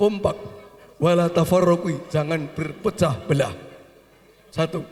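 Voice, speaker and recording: A man talks fairly slowly in a high pitch with fairly even intonation. Noticeable background noise runs underneath. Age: 70s. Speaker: family elder. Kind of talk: speech at family gathering.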